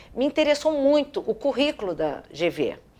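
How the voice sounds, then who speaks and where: A woman speaks in a dark, mellow tone. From Rio de Janeiro, Brazil. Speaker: business executive and board member. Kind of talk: interview.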